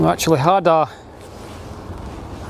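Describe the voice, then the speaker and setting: A man speaks in a northeast Scottish accent with lively intonation. His pace is moderate, with noticeable background noise. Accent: Scottish (north-east). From Scotland, Aberdeen. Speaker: live streamer, plane spotter. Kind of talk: live stream commentary. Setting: outdoors on a hill by an airport. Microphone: wind muffler on microphone.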